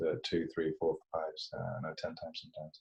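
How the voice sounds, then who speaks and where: The voice belongs to a man with a very deep, low pitch. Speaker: poet. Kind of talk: casual chat. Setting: video call.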